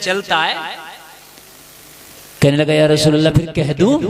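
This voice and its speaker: A man speaks in a passionate tone. Noticeable background noise runs underneath. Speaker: Islamic scholar, preacher. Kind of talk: Islamic sermon (bayan) to a live audience. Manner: passionate, oratorical, call-and-response with audience.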